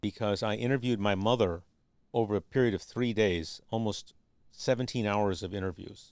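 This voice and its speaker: A man speaks in a fairly low pitch with fairly even intonation at a moderate pace, in a normal speaking voice. The recording is very clean, with a silent background. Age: 60s. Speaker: documentary filmmaker and structural engineer. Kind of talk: podcast interview.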